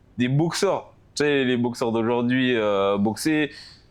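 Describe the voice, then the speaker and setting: The man speaks at a very slow pace. His voice sits at a medium pitch. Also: very even loudness. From France, Paris suburbs (Val-d'Oise). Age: 20s. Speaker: professional boxer. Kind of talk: casual interview. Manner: hesitant, many fillers.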